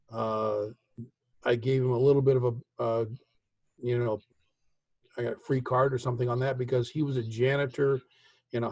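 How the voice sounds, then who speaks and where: Somewhat breathy and flat in intonation, a man with an American accent talks at a medium pitch and a moderate pace. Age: 60s. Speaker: father of the host. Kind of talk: casual chat. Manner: halting.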